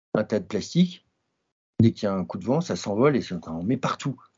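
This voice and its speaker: A man's fairly quick delivery. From French Alps, Grenoble. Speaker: mountain guide and adventurer. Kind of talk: interview. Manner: halting.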